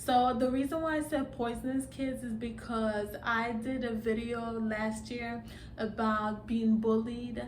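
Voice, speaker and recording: Speaking in a slight Nigerian accent, a woman keeps a fairly high pitch with monotone, flat intonation. She goes at a fairly slow pace amid audible room echo. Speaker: vlogger. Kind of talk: casual vlog monologue. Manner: halting, many fillers.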